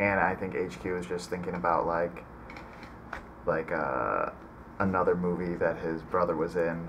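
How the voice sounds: A man's low-pitched voice with a fairly bright tone, ordinary pitch variation and a fairly slow pace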